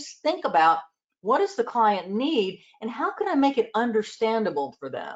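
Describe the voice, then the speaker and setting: A woman talks at a moderate pace with a Southern US accent and a fairly high pitch. Her pitch swings very widely and her loudness shifts a great deal. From US South, Georgia and South Carolina. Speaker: accountant and advisory trainer. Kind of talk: interview.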